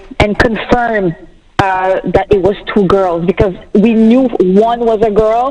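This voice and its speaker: A woman with a French accent speaks at a fairly high pitch over noticeable background noise. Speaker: bereaved mother sharing her story. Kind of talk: personal testimony on a talk show. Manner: animated.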